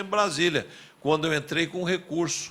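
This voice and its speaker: A man's fairly high-pitched voice with a bright, sharp tone and vocal fry. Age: 70s. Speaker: former mayor and politician. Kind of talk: testimony at public hearing. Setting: public hearing.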